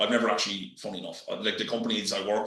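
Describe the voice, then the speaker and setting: A man with a strong Irish accent speaks amid audible room echo. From Ireland. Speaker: real estate business development manager. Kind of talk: podcast interview. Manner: halting, many fillers.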